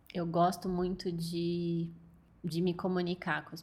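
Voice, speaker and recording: Her voice is somewhat breathy. The woman speaks at a fairly low pitch. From interior of São Paulo state, Brazil. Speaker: illustrator. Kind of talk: interview.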